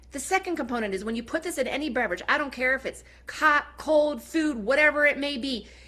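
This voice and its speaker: A woman's high, bright, sharp voice, raised and projected, animated and very fast, with ordinary pitch variation. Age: 40s. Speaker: network marketing seller. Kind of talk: sales pitch.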